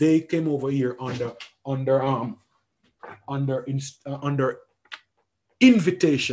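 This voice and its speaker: A man speaks with a fairly high pitch and a somewhat breathy quality. His intonation stays fairly even. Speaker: educator. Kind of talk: lecture. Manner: halting, with frequent repetitions; fast.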